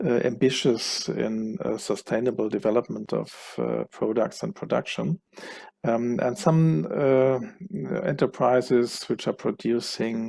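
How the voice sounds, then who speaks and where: A man with a German accent speaks at a fairly slow pace. His medium-pitched voice has lively intonation. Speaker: cluster manager, keynote speaker. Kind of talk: conference keynote presentation.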